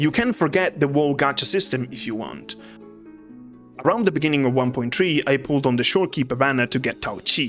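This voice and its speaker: Music plays behind a man speaking with a non-native accent. His voice sits fairly high, with ordinary pitch variation. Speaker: video game commentator. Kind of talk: video essay narration.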